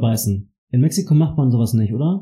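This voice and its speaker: Breathing a little into his words, a man speaks in a dark, mellow tone at medium pitch. He goes at a fairly slow pace with ordinary pitch variation. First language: German (speaking Spanish). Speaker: podcast host. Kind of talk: casual chat.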